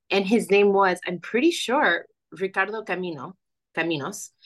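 A woman speaks at a medium pitch in an American accent. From Florida, US, Bolivian immigrant family. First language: Spanish. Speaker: young adult fantasy author. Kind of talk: interview.

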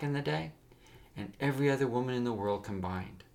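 A man's unremarkable speaking voice with ordinary pitch variation. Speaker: podcast host and storyteller. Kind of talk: dramatic narration of a serialized story, storyteller voice. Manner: warm, direct address to listeners.

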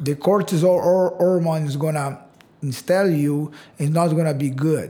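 A dark, mellow tone comes with ordinary pitch variation. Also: man. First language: Portuguese. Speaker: karate instructor. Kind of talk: casual interview.

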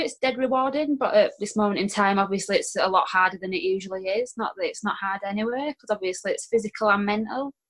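At a very fast pace, a woman with a Yorkshire accent speaks at a medium pitch with lively intonation. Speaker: guest sharing weight loss story. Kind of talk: personal storytelling in interview.

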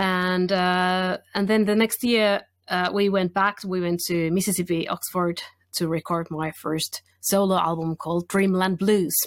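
With a Finnish accent, a woman talks at a fairly slow pace in a medium pitch and a monotone, flat intonation, the sound dry and close with no echo on a very clean recording against a silent background. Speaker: blues singer and guitarist. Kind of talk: casual interview.

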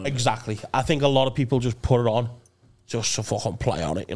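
A man with a Liverpool accent sounds enthusiastic and somewhat breathy. His medium-pitched voice shows ordinary pitch variation. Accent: soft Liverpool Scouse. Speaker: podcast co-host. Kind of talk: casual, heavy swearing. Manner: enthusiastic, banter-driven.

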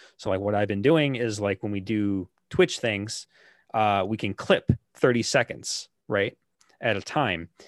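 A plain, everyday voice from a man, fairly low-pitched with ordinary pitch variation, at a fairly slow pace, in a very clean recording with a silent background and a dry, close sound with no echo. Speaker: guest, gaming YouTuber and stream moderator.

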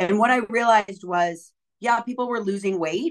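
In a dry, close sound with no echo, a woman with a plain, everyday voice speaks at a moderate pace with ordinary pitch variation. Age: 40s. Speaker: fitness coach and motivational speaker. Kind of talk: interview conversation.

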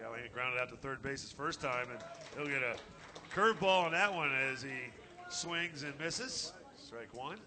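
Amid noticeable background noise, a man with a fairly high pitch talks at a moderate pace with ordinary pitch variation, big swings in loudness and long, frequent pauses. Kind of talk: live baseball play-by-play commentary.

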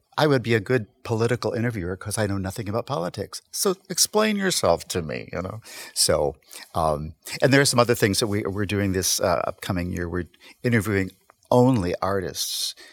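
A man's fairly low voice with lively intonation, a plain, everyday voice. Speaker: guest, community conversation program host. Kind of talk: casual conversational discussion.

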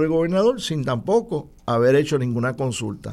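A man with a normal speaking voice, fairly high in pitch, at a fairly slow pace. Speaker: political commentator. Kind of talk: political analysis discussion.

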